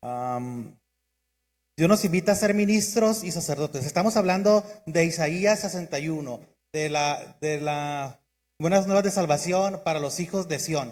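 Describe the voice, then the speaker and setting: Fairly slow delivery from a man with a high voice, ordinary pitch variation throughout. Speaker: preacher. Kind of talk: sermon.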